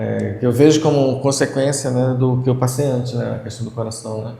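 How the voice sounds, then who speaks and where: With audible room echo, a man speaks at a moderate pace in a medium pitch, his tone dark and mellow, somewhat breathy, his intonation monotone and flat, and his loudness swinging widely. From Brazil, Pará (Belém). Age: 60s. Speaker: retired physical education teacher. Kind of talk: interview.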